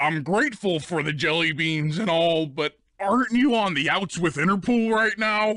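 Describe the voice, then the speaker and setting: Using a put-on character voice, a man speaks high in pitch at a moderate pace with lively intonation. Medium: video game.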